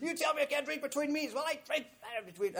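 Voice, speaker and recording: A man's put-on character voice, shouting and hissing at an extremely high pitch and a very fast pace. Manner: screaming, hissy fit.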